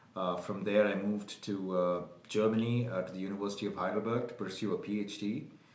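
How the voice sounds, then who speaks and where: Speaking at a fairly quick pace, a man has a fairly low pitch and fairly even intonation. Audible room echo surrounds the voice. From India, Bangalore. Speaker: virologist. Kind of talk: casual interview. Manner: hesitant, many fillers.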